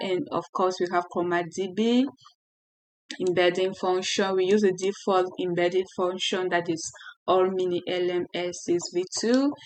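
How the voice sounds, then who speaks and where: In a French accent, a woman speaks at medium pitch. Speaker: software developer tutorial creator. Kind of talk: tutorial. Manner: halting.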